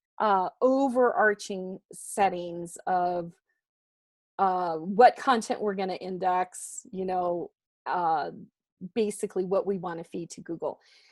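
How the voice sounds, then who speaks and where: In an American accent, a woman talks at a very slow pace and medium pitch, with ordinary pitch variation and big swings in loudness, in a dry, close sound with no echo. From California. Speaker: WordPress instructor. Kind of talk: presentation. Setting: video call.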